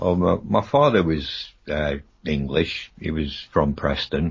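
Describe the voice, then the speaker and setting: A man speaks very slowly in a very deep, low pitch. His voice is somewhat breathy, and his intonation is fairly even. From Rhodesia (Zimbabwe), Bulawayo. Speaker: paranormal radio guest. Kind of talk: radio interview. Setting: radio show.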